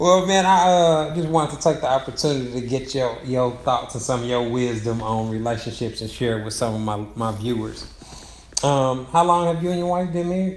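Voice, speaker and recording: There is noticeable background noise as a man talks at a fairly quick pace and medium pitch, with lively intonation. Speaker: relationship expert. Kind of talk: interviewer questions, casual conversation.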